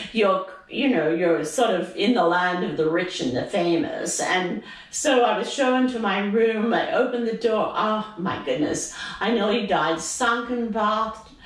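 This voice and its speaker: A fairly high female voice, lively in intonation and fairly slow in pace, over noticeable background noise. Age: 80s+. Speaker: retiree. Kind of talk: interview answer.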